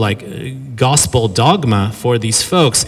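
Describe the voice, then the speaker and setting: The speech has an American accent and ordinary pitch variation. Noticeable background noise runs underneath. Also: man. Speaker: professor giving a lecture. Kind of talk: lecture. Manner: fast; animated.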